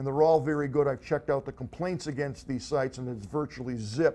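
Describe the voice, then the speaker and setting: His tone is dark and mellow. The man's pitch is fairly high, with ordinary variation. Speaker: tech gadget show host. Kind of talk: casual tech show monologue. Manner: fast.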